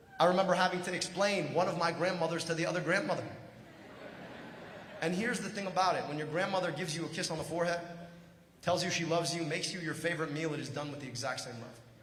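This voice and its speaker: A man with a high pitch and an animated tone talks very fast but leaves long, frequent pauses. Noticeable background noise and audible room echo surround him. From Michigan, US. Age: 40s. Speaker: political candidate. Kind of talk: political speech. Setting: stage with audience.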